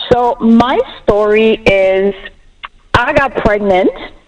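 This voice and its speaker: Someone with a French accent speaks with ordinary pitch variation over noticeable background noise. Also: woman. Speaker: bereaved mother sharing her story. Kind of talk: personal testimony on a talk show. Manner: animated.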